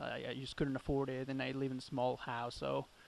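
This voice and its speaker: Speaking with a Spanish accent, a man keeps monotone, flat intonation at a moderate pace. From Chile. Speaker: metal drummer. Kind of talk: casual interview.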